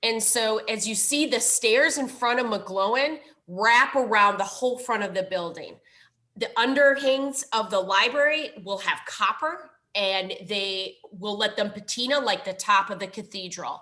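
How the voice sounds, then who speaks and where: A woman with a strong Minnesotan accent speaks at a fairly high pitch and a fairly slow pace. Her tone is bright and sharp, with ordinary pitch variation. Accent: thick Minnesotan. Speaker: library foundation director. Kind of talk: presentation.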